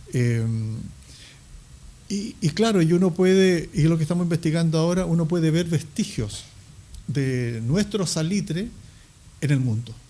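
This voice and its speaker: A high-pitched man's voice with a dark, mellow tone and lively intonation, at a moderate pace with long, frequent pauses. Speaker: historian. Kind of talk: interview. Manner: halting, many fillers.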